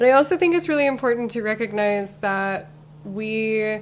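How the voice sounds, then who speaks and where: A woman with an American accent talks at a fairly slow pace and medium pitch in a plain, everyday voice. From Utah. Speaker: city council candidate. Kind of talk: podcast interview.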